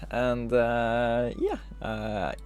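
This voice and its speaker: A man with a non-native accent, in audible room echo. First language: not English. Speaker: gaming video creator. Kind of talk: let's play commentary. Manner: hesitant, many fillers.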